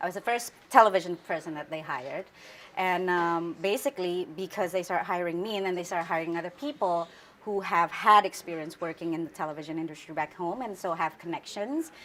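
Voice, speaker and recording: A woman's fairly low voice with an Indonesian accent, ordinary pitch variation and a fairly quick pace. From Indonesia, Central Java. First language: Javanese. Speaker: news anchor. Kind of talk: interview.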